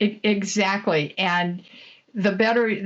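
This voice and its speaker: A woman talks with a Midwestern accent. Her pitch varies in an ordinary way. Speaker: franchise consultant. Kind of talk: interview.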